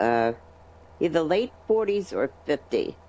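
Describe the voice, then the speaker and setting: A woman talks in a fairly low voice at a fairly slow pace. Her pitch swings very widely. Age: 60s. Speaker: patient telling her recovery story. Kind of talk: interview testimony. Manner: halting.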